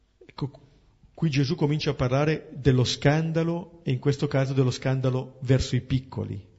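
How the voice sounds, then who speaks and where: Moderately paced speech from a man, fairly high in pitch and somewhat breathy. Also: fairly even intonation. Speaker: priest leading a Bible study. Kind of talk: Bible commentary.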